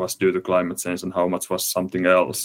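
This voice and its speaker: This man has a very deep, low voice. He speaks with a Finnish accent. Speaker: climate researcher. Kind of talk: interview. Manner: halting.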